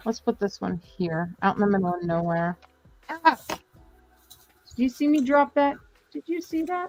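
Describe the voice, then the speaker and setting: This woman's pitch swings very widely, with long, frequent pauses. The sound is dry and close, with no echo. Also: fairly high pitch for a woman, moderate pace. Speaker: live-stream crafter and seller. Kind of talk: casual chat while crafting. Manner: quirky pronunciation of words.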